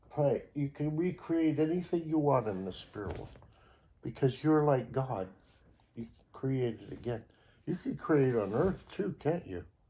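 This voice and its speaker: Speaking at a fairly slow pace, a man with a fairly high pitch and a dark, mellow, somewhat breathy tone uses lively intonation and big swings in loudness. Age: 70s. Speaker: Unificationist church member. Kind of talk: casual religious teaching in family conversation.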